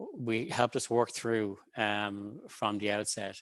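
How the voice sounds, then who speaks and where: The speaker has an Irish accent and a monotone, flat intonation. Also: man. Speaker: government researcher. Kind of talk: panel talk. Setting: video call webinar.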